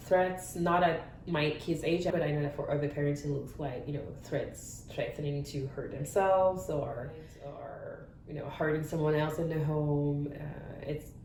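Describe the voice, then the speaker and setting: A woman's very deep, low voice with fairly even intonation and audible room echo. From France. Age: 30s. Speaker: parent sharing experience. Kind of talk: interview testimony. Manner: halting.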